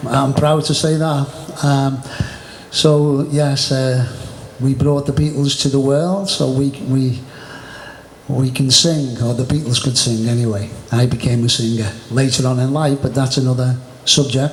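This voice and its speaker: A man with a Merseyside accent talks at a fairly slow pace and a medium pitch, with long, frequent pauses, fairly even intonation and very even loudness. Noticeable background noise and audible room echo are present. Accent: northern English (Merseyside). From northern England, Birkenhead near Liverpool. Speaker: martial arts teacher. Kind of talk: casual chat.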